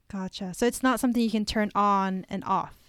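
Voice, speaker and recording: A woman has a normal speaking voice at medium pitch. She talks at a moderate pace on a very clean recording with a silent background. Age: 20s. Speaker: podcast host. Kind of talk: interview.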